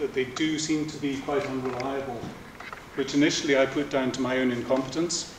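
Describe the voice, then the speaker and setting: In a room with audible echo and light background noise, a man speaks with fairly even intonation. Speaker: speaker. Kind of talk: lecture. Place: hall. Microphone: camera far.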